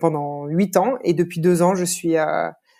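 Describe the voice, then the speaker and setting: Fairly low in pitch, a woman speaks with a dark, mellow tone and fairly even intonation. Her fairly slow pace sits on a very clean recording with a silent background. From France, Lyon. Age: 30s. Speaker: podcast guest. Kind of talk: interview conversation.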